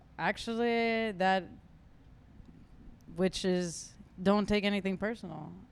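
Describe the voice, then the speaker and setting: Someone speaks at a very slow pace with a Spanish accent. Long, frequent pauses break up the speech. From Las Vegas, Nevada, US. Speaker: DJ. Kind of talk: casual interview.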